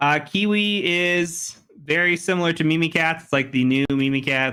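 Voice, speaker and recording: In a very clean recording with a silent background, a man speaks with a bright, sharp tone. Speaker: cybersecurity instructor. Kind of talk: live tutorial. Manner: fast.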